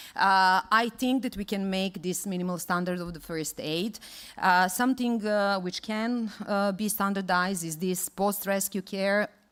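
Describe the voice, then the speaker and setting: A woman with a Serbian accent at medium pitch, fairly even in intonation, at a fairly slow pace with hardly any pauses, on a very clean recording with a silent background. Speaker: conference speaker on water rescue. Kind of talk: conference presentation. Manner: halting, many fillers and restarts.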